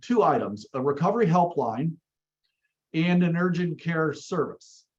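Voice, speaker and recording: At a fairly slow pace, the voice shows ordinary pitch variation. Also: man. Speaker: county behavioral health administrator. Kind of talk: webinar presentation. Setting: video call. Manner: halting, many fillers.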